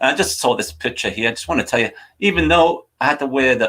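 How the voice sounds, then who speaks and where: With a Geordie accent, a man talks very fast in a bright, sharp, animated tone, at medium pitch with lively intonation. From northern England, Newcastle (Wallsend). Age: 60s. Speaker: soccer coaching show host. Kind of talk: live show chat.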